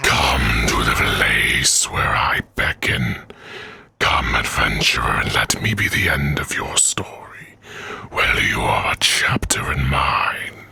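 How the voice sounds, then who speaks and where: Over faint background music, a man puts on a character voice that is raspy and very deep. He speaks at a fairly slow pace. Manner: menacing, beckoning, theatrical.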